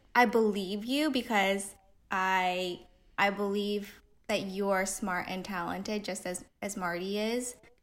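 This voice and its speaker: A woman speaks in a Californian accent at a medium pitch. Her pace is very slow. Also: long, frequent pauses. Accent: Californian American. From US West Coast, Pasadena, California. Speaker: designer and illustrator. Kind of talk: casual interview.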